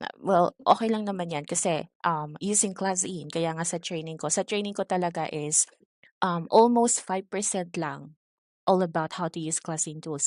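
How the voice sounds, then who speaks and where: At a fairly slow pace, a woman speaks with a fairly low pitch and ordinary pitch variation, in a dry, close sound with no echo and a quiet background. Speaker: ESL teacher trainer. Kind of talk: online training session. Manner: calm, soft-spoken.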